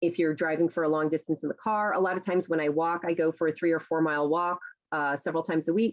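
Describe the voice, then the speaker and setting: Very fast and flat, a woman with a fairly low pitch speaks in a monotone at a very even loudness. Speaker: novelist and teacher. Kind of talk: talk to a writers' group. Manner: chatty, many fillers.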